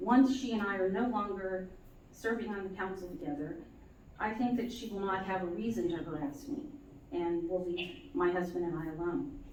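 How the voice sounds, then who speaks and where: Noticeable background noise and audible room echo accompany a woman speaking at a moderate pace with medium pitch and lively intonation. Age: 60s. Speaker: city council member, petitioner in court. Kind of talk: courtroom testimony. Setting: courtroom. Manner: halting, many fillers.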